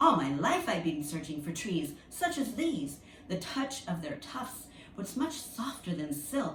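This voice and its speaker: In a put-on character voice, a woman speaks at a fairly slow pace and a fairly low pitch, nasal and with very wide pitch swings. There is a slight echo and light background noise. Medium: read story.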